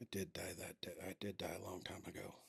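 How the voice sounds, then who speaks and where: In a put-on character voice, the speaker whispers raspily at a fairly quick pace, in a dry, close recording with no echo. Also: man. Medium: actual play. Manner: subdued.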